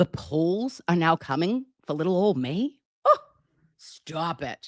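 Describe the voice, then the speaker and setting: A woman speaks at a medium pitch in an animated tone. Her pitch swings very widely. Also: dry, close sound with no echo. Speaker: nurse and true crime commentator. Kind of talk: live stream commentary.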